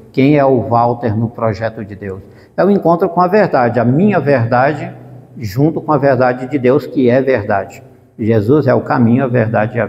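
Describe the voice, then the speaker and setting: His voice is somewhat breathy. The man keeps to a moderate pace. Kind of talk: religious formation talk.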